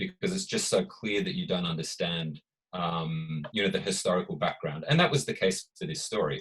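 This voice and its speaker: Delivery moves along at a moderate pace. The words come with an Australian accent. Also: man. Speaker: author and researcher. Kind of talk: panel discussion at book launch. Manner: hesitant, many fillers.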